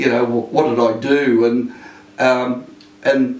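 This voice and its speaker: A man speaks with an Australian accent at a medium pitch and a fairly slow pace. Audible echo from the room surrounds his voice. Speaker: retired police inspector. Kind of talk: interview. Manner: halting.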